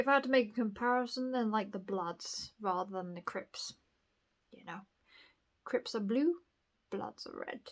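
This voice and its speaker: A woman with a southern English accent speaks at a fairly high pitch with ordinary pitch variation. She keeps a moderate pace but leaves long, frequent pauses. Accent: posh southern English picked up. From northern England, Bradford. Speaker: vlogger. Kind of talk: casual monologue. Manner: rambling, hesitant.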